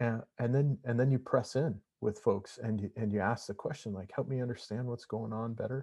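With an American accent, a man speaks at a moderate pace with hardly any pauses, his medium pitch kept in fairly even intonation. His voice has a dark, mellow tone and is somewhat breathy. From Montana. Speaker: executive coach and consultant. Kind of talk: casual interview. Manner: halting, with many repetitions.

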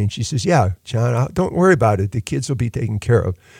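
A man speaks at a medium pitch in an American accent, his tone dark and mellow. The recording is very clean, dry and close, with no echo and a silent background. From US Midwest (Lorain, Ohio). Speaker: university dean and orphanage founder. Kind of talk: interview. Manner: halting.

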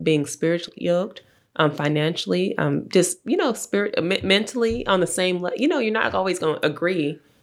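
On a very clean recording with a silent background, a woman with vocal fry talks at a fairly quick pace in a fairly low voice, with ordinary pitch variation and hardly any pauses. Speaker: podcast guest. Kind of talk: casual chat.

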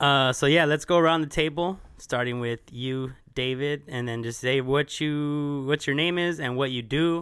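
An unremarkable speaking voice from a man with an American accent, fairly high-pitched, with fairly even intonation, a moderate pace and hardly any pauses. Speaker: podcast host and music promoter. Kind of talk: casual interview chat.

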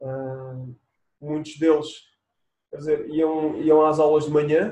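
This man has a dark, mellow tone. His pitch is fairly high. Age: 30s. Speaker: athlete (400m hurdles). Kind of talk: interview. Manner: halting, many repetitions and fillers.

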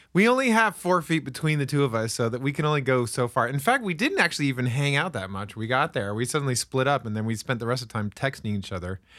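Using lively intonation, a man with a medium-pitched voice speaks at a very fast pace. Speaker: podcast host. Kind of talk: casual chat.

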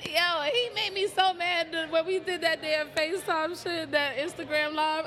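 A woman with an American accent speaks in a raised, projected voice at an extremely high pitch. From South Bronx, New York. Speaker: podcast host. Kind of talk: casual chat.

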